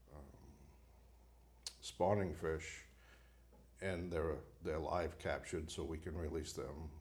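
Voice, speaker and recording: A man speaks with a very deep, low pitch and vocal fry, with audible room echo around him. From Maine, Bangor. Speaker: fisheries biologist. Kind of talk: casual interview. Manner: halting, many fillers.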